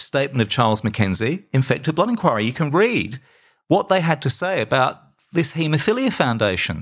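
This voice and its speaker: A man with a fairly high voice talks fairly quickly, his pitch swinging very widely, on a very clean recording with a silent background. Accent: Australian. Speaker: podcast host and campaigner. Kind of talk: solo podcast monologue. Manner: halting.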